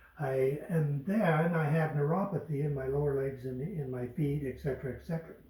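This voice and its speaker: Over noticeable background noise, a man with a fairly high pitch talks at a fairly quick pace with hardly any pauses and fairly even intonation. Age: 70s. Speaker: customer giving testimonial. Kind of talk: testimony.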